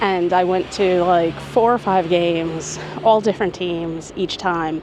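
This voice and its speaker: With a New York accent, a woman speaks at a moderate pace and medium pitch. Her pitch variation is ordinary, and noticeable background noise can be heard. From New York City, Queens. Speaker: travel vlogger. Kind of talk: casual vlog to camera. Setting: outdoors at a stadium before a game. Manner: animated.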